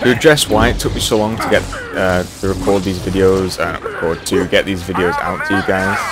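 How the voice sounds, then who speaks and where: A man is speaking. Music plays in the background. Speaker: gaming youtuber. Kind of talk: let's play commentary. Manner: casual, rambling with fillers.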